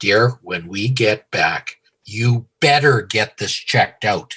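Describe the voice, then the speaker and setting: In a put-on character voice, a man uses a stern tone at medium pitch. He goes at a fairly slow pace with ordinary pitch variation. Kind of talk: insistent, telling him what to do. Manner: stern, commanding.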